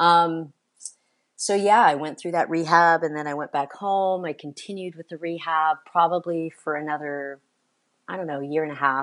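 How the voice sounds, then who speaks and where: Over a quiet background, a woman with an American accent speaks at a moderate pace with fairly even intonation and big swings in loudness. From California. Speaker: adaptive mountain bike business owner and former pro racer. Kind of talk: interview. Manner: halting, many fillers.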